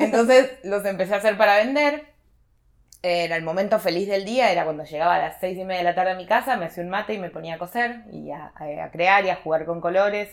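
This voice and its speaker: Spoken at a very fast pace in a Rioplatense accent, the voice shows big swings in loudness and ordinary pitch variation. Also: woman, medium pitch for a woman. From Argentina, Buenos Aires province (small town). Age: 30s. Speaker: embroidery teacher and textile artisan. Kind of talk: casual interview chat.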